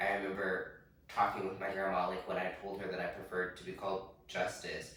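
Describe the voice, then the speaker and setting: Amid noticeable background noise and audible room echo, a man with a very deep, low voice talks at a very fast pace. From US Midwest, Wichita, Kansas. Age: 20s. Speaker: drag performer. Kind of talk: interview.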